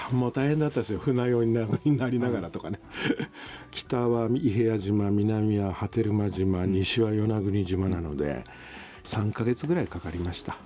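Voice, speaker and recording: A man's fairly low voice at a moderate pace, ordinary pitch variation, and noticeable background noise. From Tokyo, Japan. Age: 60s. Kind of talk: casual interview chat. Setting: airport lounge studio.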